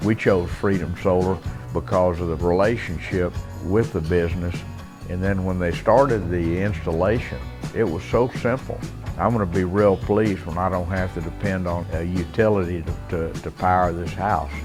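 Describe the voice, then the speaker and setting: A man speaks with a Texan accent and a very deep, low pitch. Music plays in the background. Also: ordinary pitch variation, moderate pace. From South Texas. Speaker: rancher. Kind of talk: customer testimonial interview.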